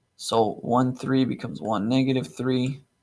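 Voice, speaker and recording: A man speaks at a fairly slow pace with a plain, everyday voice. His pitch is medium, with ordinary pitch variation. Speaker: math teacher. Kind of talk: tutorial. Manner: casual, upbeat.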